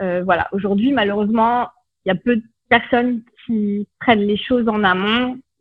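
This woman has a normal speaking voice, pitched fairly high. She talks at a fairly slow pace with ordinary pitch variation. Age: 40s. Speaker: naturopath. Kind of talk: interview.

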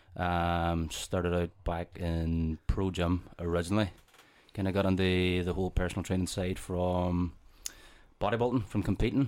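A man with a Northern Irish accent speaks at a moderate pace in a very deep, low voice, his intonation fairly even. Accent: Derry Northern Irish. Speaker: personal trainer and gym owner. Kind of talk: casual chat.

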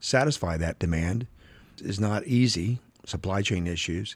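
At a moderate pace, an ordinary speaking voice comes through on a very clean recording with a silent background. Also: man. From Oklahoma. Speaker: real estate developer. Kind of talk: interview conversation.

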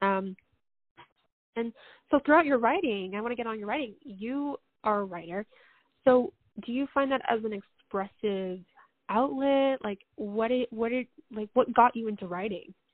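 A woman speaks in an animated tone with ordinary pitch variation at a moderate pace, leaving long, frequent pauses. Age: 20s. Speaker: podcast host. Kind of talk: casual interview.

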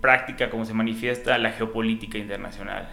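Audible room echo surrounds a man speaking with a Yucatecan accent. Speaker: energy official. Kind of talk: casual interview.

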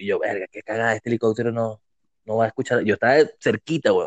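A man talks at a very fast pace, and the sound is dry and close with no echo. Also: quiet background. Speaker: podcast co-host. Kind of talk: casual chat.

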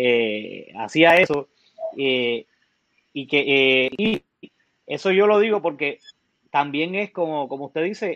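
With lively intonation, a man uses an ordinary speaking voice at a fairly high pitch. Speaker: music school host. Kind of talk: interview.

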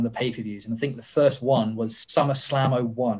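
Speaking at a fairly quick pace, a man keeps a medium pitch. His intonation is monotone and flat. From southern England. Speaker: wrestler. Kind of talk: casual chat.

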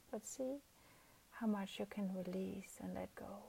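The voice has a soothing, gentle tone and moves at a fairly slow pace. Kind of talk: guided meditation for sleep. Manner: slow, soft, soothing, with long pauses; gentle and calm, repeating cues like 'let go'.

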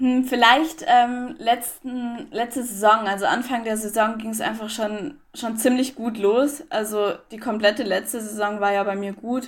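In an ordinary speaking voice, a woman talks fairly slowly with hardly any pauses, a fairly high pitch, ordinary pitch variation and big swings in loudness. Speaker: para athlete. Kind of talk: interview.

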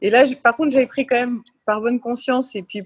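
Dry and close with no echo, a woman's somewhat breathy voice moves at a fairly quick pace with fairly even intonation. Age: 40s. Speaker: former professional tennis player. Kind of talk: casual interview.

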